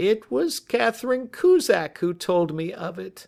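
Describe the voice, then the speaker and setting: In a put-on character voice, someone speaks shakily at a middle pitch and a fairly slow pace. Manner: nervous, shaky.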